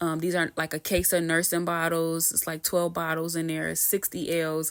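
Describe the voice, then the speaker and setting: In a very clean recording with a silent background, a woman talks at a fairly low pitch. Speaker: gaming tutorial youtuber. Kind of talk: tutorial. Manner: fast.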